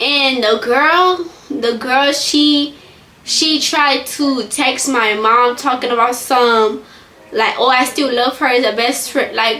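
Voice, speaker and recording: A woman's raised, projected voice, high in pitch, very slow, with ordinary pitch variation and very even loudness, plus audible room echo and noticeable background noise. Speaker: vlogger. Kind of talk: storytime. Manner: halting.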